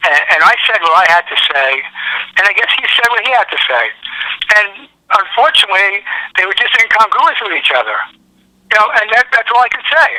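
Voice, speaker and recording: A man with a New York accent speaks at a high pitch, leaving long, frequent pauses. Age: 70s. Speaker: sports fan caller. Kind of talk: phone interview. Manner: halting with repetitions.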